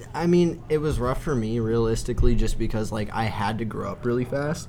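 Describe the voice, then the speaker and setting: A man at a medium pitch with ordinary pitch variation and a fairly quick pace, amid audible room echo and noticeable background noise. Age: 20s. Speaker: skateboarder. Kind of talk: casual chat. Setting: in a bar.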